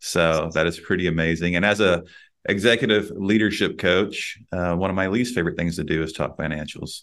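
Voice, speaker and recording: Against a quiet background, a man with a Texan accent speaks fairly quickly at a very deep, low pitch with fairly even intonation. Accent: Texan US Southern. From Texas. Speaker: podcast host and executive leadership coach. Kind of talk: casual interview.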